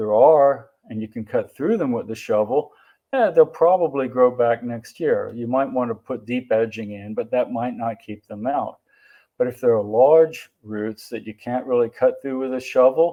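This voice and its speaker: In a normal speaking voice, a man talks at a moderate pace with medium pitch, ordinary pitch variation and big swings in loudness. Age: 60s. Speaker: family practice doctor. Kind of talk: symposium presentation.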